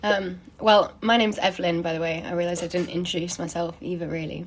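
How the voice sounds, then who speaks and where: Pitched fairly low, a woman talks with an English accent. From England. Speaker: performance artist interviewing for a project. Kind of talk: interview. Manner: halting, filler words.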